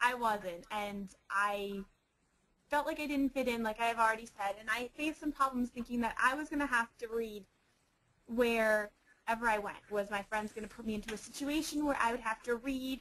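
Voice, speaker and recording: Loud and animated, a woman talks at a moderate pace with a fairly high pitch, a bright, sharp tone, and ordinary pitch variation. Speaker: youth advocate presenter. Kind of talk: webinar presentation, personal story. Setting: online webinar. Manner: loud, animated.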